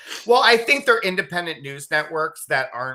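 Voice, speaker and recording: This man's voice has a bright, sharp tone and lively intonation. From Illinois, US Midwest. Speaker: independent journalist and comedian. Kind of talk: casual interview chat.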